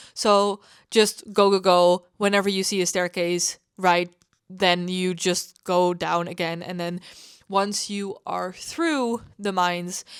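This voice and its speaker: A woman with a non-native accent speaks in a fairly low pitch and a monotone, flat intonation. The recording is very clean, with a silent background. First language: not English. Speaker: gaming content creator. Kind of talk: casual voice-over commentary. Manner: hesitant, many fillers.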